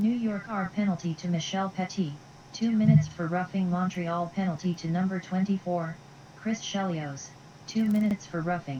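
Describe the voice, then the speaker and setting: A put-on, robotic character voice, female-sounding and medium in pitch, at a moderate pace over clear background noise. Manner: flat, monotone.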